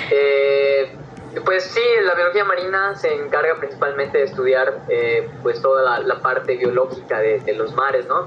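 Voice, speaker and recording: Over noticeable background noise, a man speaks at a fairly slow pace with very even loudness. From Yucatán, Mexico. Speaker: marine biology student, science communicator. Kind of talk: casual chat.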